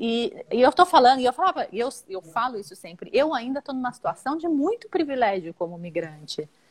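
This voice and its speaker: A woman talks at a fairly quick pace with a high pitch, very wide pitch swings and big swings in loudness. The sound is dry and close with no echo, and she hardly pauses at all. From Brazil, São Paulo. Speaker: perinatal family support worker. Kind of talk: casual interview.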